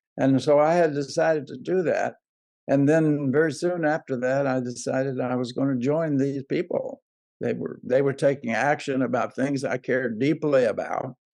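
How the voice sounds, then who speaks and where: A man with an Alabama accent speaks at a moderate pace in a fairly high pitch, his intonation fairly even. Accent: Southern US (Alabama). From US South, southern Alabama. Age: 80s+. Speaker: civil rights activist. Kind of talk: interview. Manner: halting.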